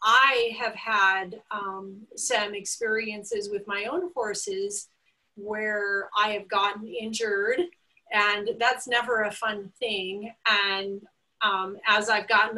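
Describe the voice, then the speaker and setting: The speaker is a woman with ordinary pitch variation. She goes at a very slow pace. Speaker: webinar host. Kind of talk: host introduction. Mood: warm, upbeat. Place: home room. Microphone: video call.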